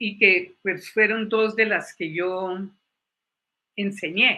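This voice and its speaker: A woman with a bright, sharp tone speaks at a very slow pace, her medium-pitched voice keeping fairly even intonation. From Colombia. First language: English (speaking Spanish). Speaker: psychologist and former university lecturer. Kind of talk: panel talk, personal testimony.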